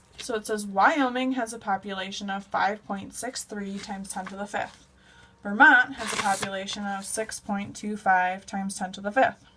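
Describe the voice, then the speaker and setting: Noticeable background noise runs under a woman's medium-pitched voice at a moderate pace. Her loudness swings widely while her intonation stays fairly even. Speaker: math teacher. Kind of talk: tutorial.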